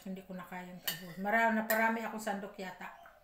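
Over light background noise and audible room echo, a woman talks very fast in a medium-pitched voice that stays monotone and flat. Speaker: vlogger. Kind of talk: casual eating vlog. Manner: chatty, with mouth full while eating. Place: home room. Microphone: phone near.

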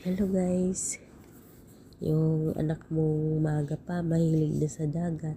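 At a very slow pace, a woman speaks with a very deep, low pitch, a monotone, flat intonation, a somewhat breathy quality and a dark, mellow tone. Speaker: vlogger. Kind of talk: casual vlog narration. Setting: outdoors at the beach. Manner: laughing often.

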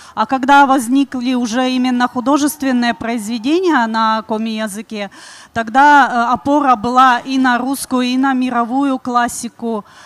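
Her high-pitched voice moves at a fairly slow pace with fairly even intonation, and the sound is dry with no echo. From Komi Republic, Russia. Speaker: speaker. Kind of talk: panel discussion talk. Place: stage. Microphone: handheld.

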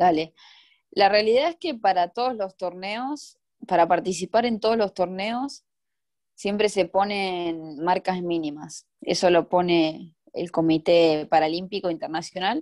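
With ordinary pitch variation, a woman talks fairly slowly. Behind her, things stay quiet. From Argentina. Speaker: Paralympic swimmer; interviewee. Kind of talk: interview. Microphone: video call.

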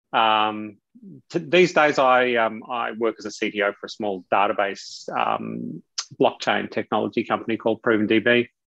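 Over a quiet background with a dry sound and no echo, a man with an Australian accent speaks at a fairly low pitch with ordinary pitch variation. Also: fairly slow pace. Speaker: technology executive and author; guest. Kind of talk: interview. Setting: video call. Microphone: video call.

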